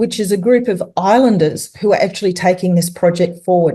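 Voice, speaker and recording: In an Australian accent, a woman speaks with a dark, mellow tone and lively intonation. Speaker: tourism consultant and speaker. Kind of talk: webinar presentation. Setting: online webinar. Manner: halting, many fillers.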